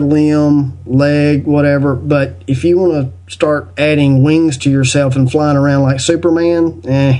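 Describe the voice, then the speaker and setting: Talking very slowly in a Southern US accent, a man has a fairly high pitch, ordinary pitch variation and a dark, mellow tone. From US South. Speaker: podcast guest and video maker on spiritual topics. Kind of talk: casual interview chat.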